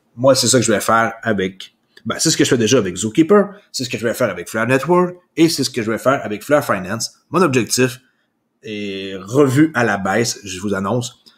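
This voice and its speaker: With an unremarkable speaking voice, a man talks at a moderate pace at medium pitch, his intonation lively. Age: 40s. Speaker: crypto YouTuber. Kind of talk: solo news commentary. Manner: casual with frequent fillers.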